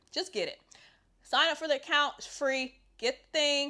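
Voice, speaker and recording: A woman's raised, projected voice with a bright, sharp tone and ordinary pitch variation, on a very clean recording with a silent background. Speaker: personal trainer and fitness youtuber. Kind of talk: casual talk-to-camera advice video.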